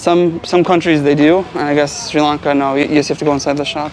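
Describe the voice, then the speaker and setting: This man talks fairly quickly with fairly even intonation, and noticeable background noise sits behind him. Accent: American. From United States. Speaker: travel vlogger. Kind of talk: casual vlog chat.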